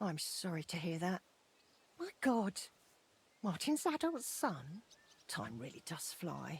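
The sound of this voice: A woman puts on a character voice, fairly low-pitched for a woman and husky with a rough edge. She goes at a slow pace with big pitch swings.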